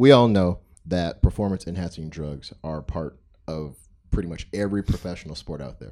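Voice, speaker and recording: A man speaks with a very deep, low pitch and ordinary pitch variation. His tone is dark and mellow on a very clean recording with a silent background. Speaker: podcast host. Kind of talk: casual chat. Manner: stutter.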